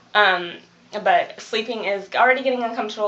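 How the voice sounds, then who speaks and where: Over noticeable background noise, a woman speaks fairly quickly with fairly even intonation. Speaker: vlogger. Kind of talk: casual vlog. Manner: fast.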